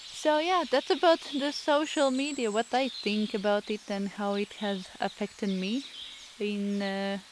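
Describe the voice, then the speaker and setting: Lively intonation with a Latvian accent, at a fairly slow pace. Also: woman, fairly high pitch for a woman. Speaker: artist, painter. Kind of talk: voice-over narration. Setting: indoors at home, self-recorded. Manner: halting, many fillers.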